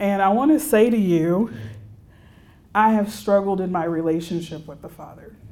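With a Texan accent, a woman speaks at a moderate pace and medium pitch, her dark, mellow tone carrying lively intonation and big swings in loudness, broken by long, frequent pauses amid audible room echo. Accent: Texan American English. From Texas, Houston. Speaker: religious sister and counselor. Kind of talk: retreat keynote talk.

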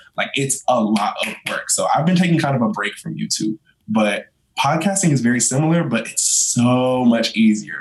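With an ordinary speaking voice, a man talks at medium pitch and moderate pace in an American accent, his intonation lively. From North Carolina. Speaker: content creator. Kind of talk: casual chat.

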